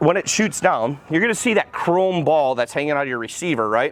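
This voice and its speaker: Noticeable background noise surrounds a man with a fairly high pitch. His tone is animated and his intonation lively. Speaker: car dealership salesperson doing vehicle reviews. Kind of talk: product walkaround review. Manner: fast.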